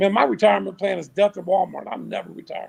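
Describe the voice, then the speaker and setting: A man speaks at a fairly quick pace. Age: 60s. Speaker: basketball league president. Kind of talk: podcast interview.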